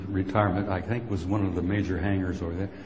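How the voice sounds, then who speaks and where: There is noticeable background noise as a man with an American accent talks at a moderate pace. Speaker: retired army sergeant major, UFO speaker. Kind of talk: conference talk to live audience. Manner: rambling, impassioned.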